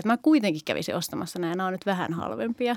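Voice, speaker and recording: Very fast and lively in intonation, a woman speaks with a dry, close sound with no echo on a very clean recording with a silent background. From Finland, Oulu. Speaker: primary school teacher. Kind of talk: casual chat.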